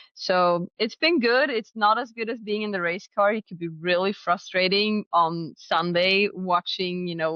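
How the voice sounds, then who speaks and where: A Swedish accent with ordinary pitch variation. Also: woman. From Sweden, Stockholm area, then Finnish island. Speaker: drag racer. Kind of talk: interview.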